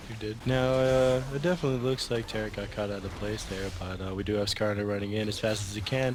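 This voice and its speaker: A very fast-paced man's voice at a fairly low pitch with ordinary pitch variation, amid noticeable background noise. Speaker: gaming commentator. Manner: hesitant, halting.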